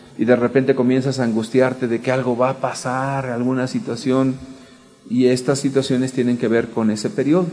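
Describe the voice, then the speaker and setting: A man with an unremarkable speaking voice, medium in pitch, at a fairly quick pace. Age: 40s. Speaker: church teacher. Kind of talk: teaching talk.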